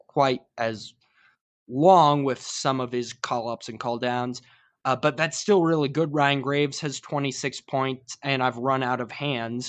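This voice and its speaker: A man with an American accent at medium pitch, against a quiet background. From Utah, Salt Lake City. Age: 20s. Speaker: sports fan, radio station employee. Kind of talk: casual chat. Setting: podcast interview. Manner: animated.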